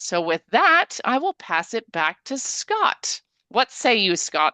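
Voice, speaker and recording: A woman's bright, sharp, energetic voice, fairly high-pitched, dry and close with no echo, over a quiet background. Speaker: cruise line sales representative. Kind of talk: webinar presentation.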